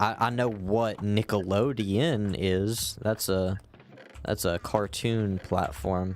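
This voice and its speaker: A man talks at a very slow pace with a fairly low pitch. Noticeable background noise runs underneath. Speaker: gaming streamer. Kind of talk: casual live-stream chat. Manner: halting, with repetitions and pauses.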